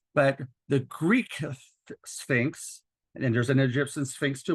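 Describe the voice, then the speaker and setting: A man speaks at a moderate pace, somewhat breathy, with ordinary pitch variation. The background is quiet. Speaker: doctor and educator presenting a webinar. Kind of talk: lecture. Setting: webinar.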